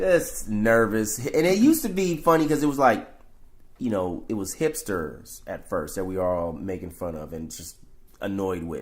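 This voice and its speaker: In a room with audible echo, a man speaks at a moderate pace in an animated tone, with big swings in loudness. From San Francisco, Fillmore district. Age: 60s. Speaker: rapper and painter. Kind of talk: casual chat.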